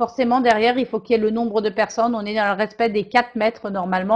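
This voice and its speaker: Her pitch is fairly high. The woman speaks at a very fast pace. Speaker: training consultant, webinar presenter. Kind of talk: webinar presentation. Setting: online virtual class. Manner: hesitant, with fillers and repetitions.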